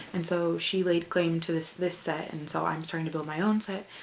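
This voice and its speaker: Fairly low woman's voice amid noticeable background noise. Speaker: book vlogger. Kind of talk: casual vlog. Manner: animated.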